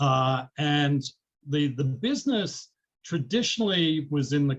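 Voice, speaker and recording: The man's voice is fairly high in pitch and somewhat breathy. He talks at a very slow pace. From Australia. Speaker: business executive. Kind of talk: interview.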